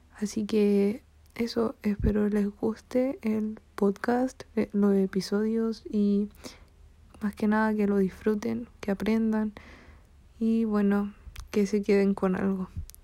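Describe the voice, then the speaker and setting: A woman speaks very slowly with long, frequent pauses, her fairly high voice dark and mellow in tone, flat and monotone in intonation, and very even in loudness. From Chile. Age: young. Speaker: podcast host. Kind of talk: solo podcast introduction.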